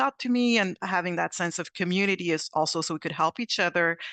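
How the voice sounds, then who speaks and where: Against a quiet background, a woman in a Quebec accent talks at a very fast pace with a fairly low pitch and a bright, sharp tone, recorded dry and close with no echo. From Quebec, Montreal. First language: French. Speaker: actuary, panelist. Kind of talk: panel discussion. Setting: video call.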